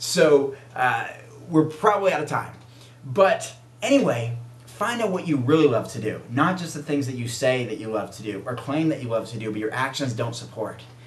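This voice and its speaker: Over noticeable background noise and audible room echo, a man with a fairly high pitch speaks with lively intonation and big swings in loudness. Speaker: vegan bodybuilder and video show host. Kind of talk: casual vlog monologue. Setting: self-recorded video. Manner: fast; animated.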